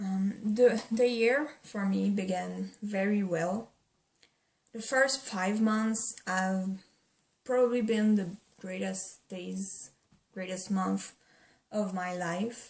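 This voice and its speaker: With a non-native accent, a woman at a medium pitch speaks very slowly, somewhat breathily, with fairly even intonation and long, frequent pauses. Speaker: vlogger. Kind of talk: casual talk to camera. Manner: hesitant, not used to camera.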